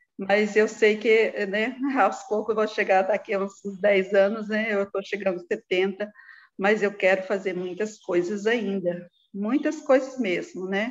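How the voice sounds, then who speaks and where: At a fairly slow pace, a woman speaks with fairly even intonation at a medium pitch. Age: 60s. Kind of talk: interview. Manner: halting.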